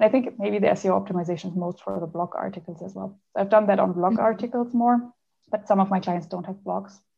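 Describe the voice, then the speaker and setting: A woman with a German accent, medium pitch, vocal fry, fairly even intonation and a very fast pace. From Germany. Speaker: translator. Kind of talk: interview.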